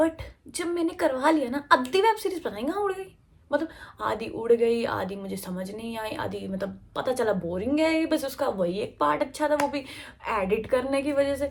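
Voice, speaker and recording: A woman with a high pitch speaks at a moderate pace, her voice making very wide pitch swings against noticeable background noise. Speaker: college student vlogger. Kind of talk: casual vlog. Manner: chatty, filler-heavy.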